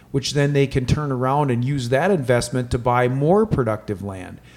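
Here a man with an ordinary speaking voice talks at a medium pitch and moderate pace, with ordinary pitch variation. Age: 40s. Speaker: land management company owner and real estate agent. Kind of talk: casual podcast interview.

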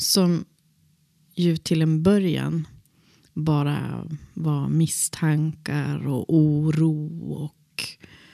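A woman speaks very slowly in a very deep, low, dark, mellow voice. Her intonation is monotone and flat, broken by long, frequent pauses. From Västerbotten, northern Sweden. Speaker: drama teacher and actor. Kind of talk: personal interview.

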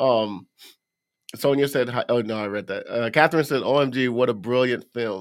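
A man with a normal speaking voice talks at a moderate pace, with medium pitch and ordinary pitch variation. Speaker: true crime podcast co-host. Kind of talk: casual chat. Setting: live stream.

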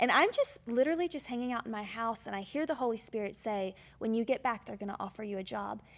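With a slight Southern US accent, a woman speaks very fast in an animated tone, with ordinary pitch variation and hardly any pauses. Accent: slight Southern twang. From Georgia, US South. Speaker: church assistant. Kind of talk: testimony.

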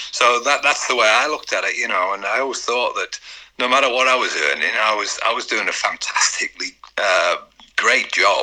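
Over noticeable background noise, the speaker moves at a fairly quick pace. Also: man. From northern England. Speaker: retired footballer. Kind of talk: interview.

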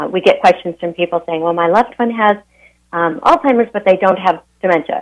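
A woman with an American accent has an unremarkable speaking voice. Her pitch sits fairly low, with ordinary pitch variation. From Montana. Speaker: nonprofit executive director. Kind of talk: radio interview. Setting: phone call.

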